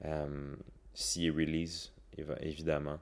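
This voice carries a Quebec accent. The recording is very clean, with a silent background. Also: man. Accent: Québécois French. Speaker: wellness coach and podcaster. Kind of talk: casual solo podcast monologue. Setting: at home. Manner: calm. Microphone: new microphone.

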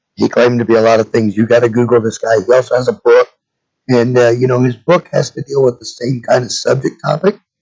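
With vocal fry and a slightly husky edge, a man speaks fairly quickly at a medium pitch, his slightly mellow tone showing little pitch movement.

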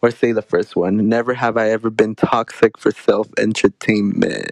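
Medium-pitched speech from a man with an American accent, fairly slow and monotone, flat in intonation, with a dry, close sound and no echo. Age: 20s. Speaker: college student podcast host. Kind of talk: casual chat.

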